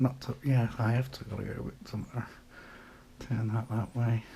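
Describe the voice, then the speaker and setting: A man speaks quietly at a moderate pace and medium pitch, in a dark, mellow tone. His intonation is monotone and flat, with vocal fry. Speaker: hobbyist maker. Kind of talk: casual show-and-tell. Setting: at home late at night. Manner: quiet, keeping voice down; casual, hesitant.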